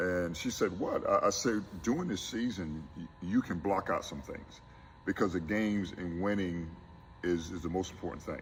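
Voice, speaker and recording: Very deep and low in pitch, a man speaks with a Southern US accent. His pace is moderate and his pitch variation ordinary. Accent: US South. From South Carolina Low Country. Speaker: college basketball coach. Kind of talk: interview.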